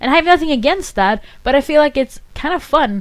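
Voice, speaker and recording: A woman speaks with a slight Swedish accent. Her pitch swings very widely. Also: very clean recording, silent background. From northern Sweden. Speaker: podcaster. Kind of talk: casual monologue.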